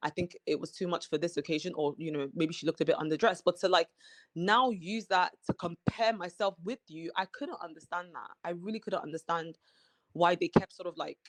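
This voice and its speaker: Fairly quick delivery with a slight British accent. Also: woman, ordinary pitch variation, dry, close sound with no echo. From Nigeria, then England from mid high school. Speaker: reality TV cast member. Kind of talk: interview.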